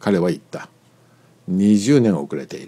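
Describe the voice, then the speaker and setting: The voice has a dark, mellow tone. It moves along at a moderate pace. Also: man. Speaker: narrator. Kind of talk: reading aloud.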